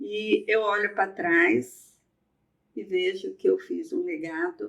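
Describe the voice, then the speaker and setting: A woman is speaking. Her pitch swings very widely. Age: 60s. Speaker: eye surgeon and hospital director. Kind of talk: podcast conversation.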